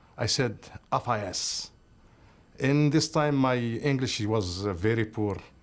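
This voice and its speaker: A man talks at a fairly slow pace with an Arabic accent, leaving long, frequent pauses. His pitch is medium with ordinary variation, and the background is quiet. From Algeria. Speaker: refugee and business owner. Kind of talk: interview. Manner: halting.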